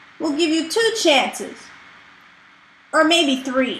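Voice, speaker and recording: Here a woman adopts a put-on character voice. She keeps it high in pitch and talks at a fairly slow pace. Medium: read story. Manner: snappy, bickering.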